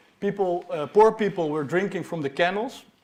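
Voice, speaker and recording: A Dutch-accented man's voice with ordinary pitch variation. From Netherlands. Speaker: PhD researcher. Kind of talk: popular science talk. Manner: halting, with many fillers.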